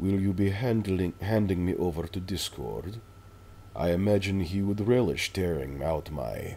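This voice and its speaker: Drawling in a put-on character voice at a very deep, low pitch, a man speaks at a moderate pace over clear background noise. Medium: read story. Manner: drawling, disdainful.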